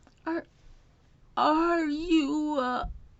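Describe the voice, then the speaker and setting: Put-on character voice pitched high. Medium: read story. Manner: halting, stammering.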